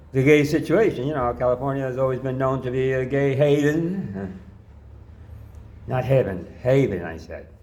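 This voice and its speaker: With an American accent, a man talks at a medium pitch with lively intonation amid audible room echo. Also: moderate pace. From New York. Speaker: pastor. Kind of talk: personal testimony. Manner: casual, rambling.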